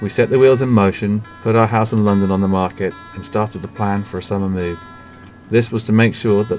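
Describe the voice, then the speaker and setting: With music in the background, a man with a fairly low pitch speaks at a fairly quick pace in fairly even intonation. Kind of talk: narrated vlog story.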